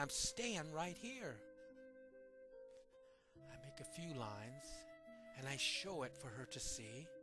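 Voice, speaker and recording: Over music in the background, a man speaks at a fairly slow pace, his fairly high pitch making very wide swings. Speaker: poetry performer. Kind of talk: dramatic poetry reading.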